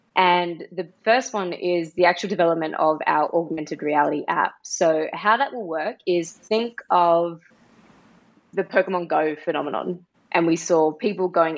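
Speaking with an Australian accent, a woman uses a fairly low pitch and ordinary pitch variation. Her pace is moderate. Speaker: NFT project co-founder. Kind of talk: casual interview.

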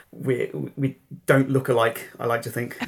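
A man at medium pitch with an English accent. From England. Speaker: political journalist. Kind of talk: interview.

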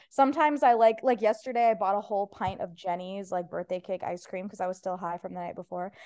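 With a Midwestern accent, a woman speaks at a medium pitch in a dark, mellow tone, with ordinary pitch variation over a quiet background. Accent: general Midwestern American. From US Midwest. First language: Persian. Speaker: stand-up comedian. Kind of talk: casual chat. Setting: video call.

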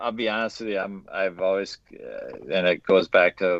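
The speech comes at a moderate pace with a dry, close sound and no echo. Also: man. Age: 40s. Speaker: Disney park ride-challenge runner. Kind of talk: casual chat. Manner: halting.

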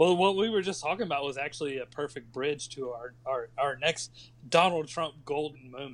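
Speaking at a fairly quick pace, a man with a normal speaking voice has a fairly high pitch and ordinary pitch variation. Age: 30s. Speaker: podcast guest. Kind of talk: casual chat.

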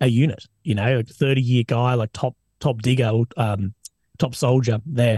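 A somewhat breathy man with an Australian accent, his medium-pitched voice dark and mellow in tone, at a moderate pace. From Australia, Adelaide. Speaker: army veteran and war correspondent. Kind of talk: casual interview chat. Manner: animated.

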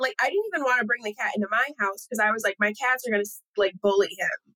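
At a very fast pace, the voice has a bright, sharp tone and ordinary pitch variation, with a dry, close sound and no echo. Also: woman. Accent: American. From Southeast Michigan. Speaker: model and actress. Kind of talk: casual chat.

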